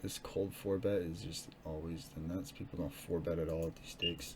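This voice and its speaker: Through noticeable background noise and audible room echo comes a man's very deep, low-pitched voice. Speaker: online poker player streaming his session. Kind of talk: live play commentary. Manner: loud; casual, hesitant.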